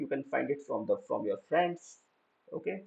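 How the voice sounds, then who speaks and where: A man is speaking. His pace is moderate. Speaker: programming teacher. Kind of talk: lecture. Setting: live online class.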